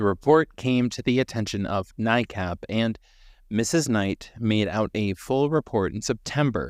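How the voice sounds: This is a natural reading voice. The pitch moves with ordinary variation.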